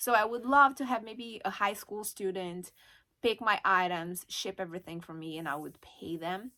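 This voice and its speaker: A woman with a Brazilian Portuguese accent speaks at a medium pitch in a very clean recording with a silent background. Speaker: online reseller and YouTuber. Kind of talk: casual vlog talk to camera. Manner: hesitant, with fillers.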